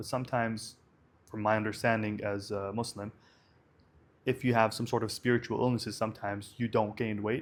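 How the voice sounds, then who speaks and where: Speaking at a fairly quick pace, a man with an Arabic accent uses a fairly low-pitched, monotone, flat delivery. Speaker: vlogger. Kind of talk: casual monologue vlog. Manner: hesitant, many fillers.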